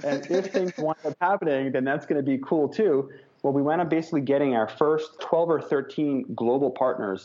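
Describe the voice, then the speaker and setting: Using an unremarkable speaking voice, a man speaks in a fairly high pitch at a moderate pace, with ordinary pitch variation and very even loudness. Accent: American. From New York. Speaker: entrepreneur and keynote speaker. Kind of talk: interview.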